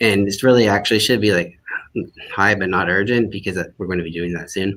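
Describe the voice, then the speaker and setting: A man talks at a very fast pace with a strong Midwestern US accent. His pitch is fairly low and his intonation fairly even. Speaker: academic librarian. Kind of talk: live online demo. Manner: halting.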